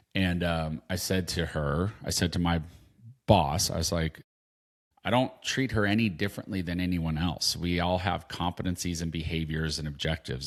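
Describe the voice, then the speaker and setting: A man with a very deep, low pitch and a West Coast accent, fairly even intonation and a moderate pace, on a very clean recording with a silent background. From Southern California, San Diego. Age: 50s. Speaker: podcast co-host. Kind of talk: casual chat.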